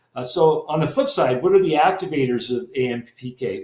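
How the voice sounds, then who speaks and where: A man talks with a fairly high pitch. There is noticeable background noise. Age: 60s. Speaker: naturopathic doctor and health educator. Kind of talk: webinar presentation. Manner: hesitant with many fillers.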